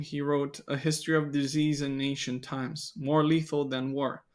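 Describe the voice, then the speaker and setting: In a very clean recording with a silent background, a man with a non-native accent speaks at a moderate pace and a fairly high pitch. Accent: non-native English speaker. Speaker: biblical studies content creator. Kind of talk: podcast interview discussion. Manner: somewhat halting with fillers.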